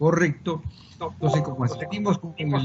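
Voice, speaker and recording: Noticeable background noise runs under the speech. The pace is fairly slow, with ordinary pitch variation. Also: man. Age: 60s. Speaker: supreme court judge. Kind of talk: formal presentation to a congressional committee. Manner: formal.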